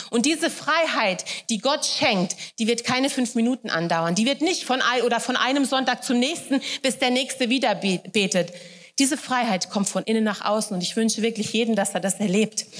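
A woman in a normal speaking voice, fairly high in pitch with ordinary pitch variation, at a moderate pace. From Hesse, Germany (Wächtersbach). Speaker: guest preacher. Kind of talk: sermon.

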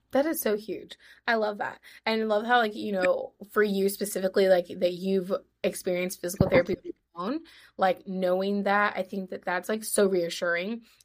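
A normal speaking voice from a woman, medium in pitch, at a moderate pace with ordinary pitch variation. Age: 20s. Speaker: podcast host. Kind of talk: casual interview chat.

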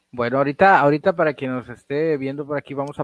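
A man speaks with a Mexican accent. His pitch is medium. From Mexico. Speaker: paranormal podcast host. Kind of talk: casual interview. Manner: halting, many repetitions.

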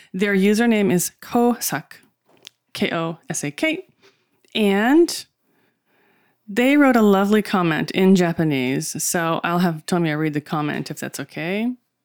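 A woman with an American accent at medium pitch, lively in intonation and fairly slow, with long, frequent pauses, on a very clean, dry, close recording with no echo and a silent background. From USA. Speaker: podcast co-host. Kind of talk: casual chat.

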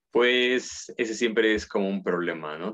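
The man has a plain, everyday voice. His pitch is medium and varies in an ordinary way. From Mexico, Puebla. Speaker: philosophy researcher and professor. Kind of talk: casual interview.

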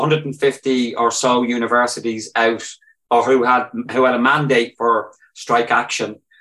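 In a Northern Irish accent, a man talks at a medium pitch and a moderate pace. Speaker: trade union activist, university staff. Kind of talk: podcast interview.

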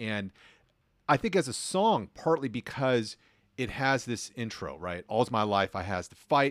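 A man's unremarkable speaking voice, medium in pitch, fairly slow, with lively intonation, recorded dry and close with no echo on a very clean, silent background. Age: 40s. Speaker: sociology professor and DJ. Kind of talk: casual chat.

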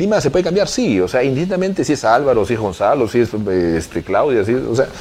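Over noticeable background noise, a man speaks at a very fast pace with very wide pitch swings. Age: 30s. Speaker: mayor. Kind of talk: interview. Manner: halting, many fillers.

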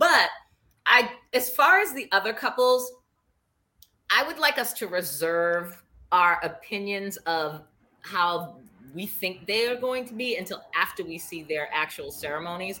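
An animated, bright and sharp voice in a Boston accent, at a fairly slow pace with long, frequent pauses, very wide pitch swings and big swings in loudness. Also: woman, medium pitch for a woman. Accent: Boston, noticeable. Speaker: podcast co-host. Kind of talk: casual chat, reality TV recap. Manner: animated, excitable.

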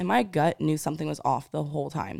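A woman talks at a very fast pace in a very clean recording with a silent background. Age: 20s. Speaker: podcast host. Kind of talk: solo personal monologue. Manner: casual, conversational.

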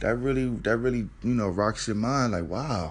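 At a fairly slow pace, a man speaks in a medium pitch. His pitch variation is ordinary. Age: 30s. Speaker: podcast host. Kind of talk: casual solo monologue. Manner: repetitive, halting with frequent fillers.

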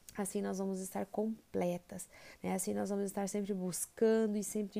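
A woman's dark, mellow tone at a medium pitch. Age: 30s. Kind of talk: inspirational monologue.

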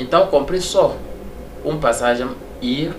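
With lively intonation and a moderate pace, a man talks over noticeable background noise while audible room echo fills the space. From Togo. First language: French (speaking Portuguese). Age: 30s. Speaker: immigrant kitchen assistant. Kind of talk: interview.

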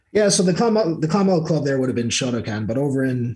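A man's somewhat breathy voice. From Clonmel, Ireland, then Ohio US. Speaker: guest, Irish emigrant. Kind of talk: casual interview.

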